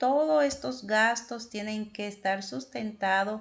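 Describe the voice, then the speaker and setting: A woman's very slow speech, medium in pitch, with ordinary pitch variation. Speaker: accounting and tax tutor. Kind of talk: tutorial.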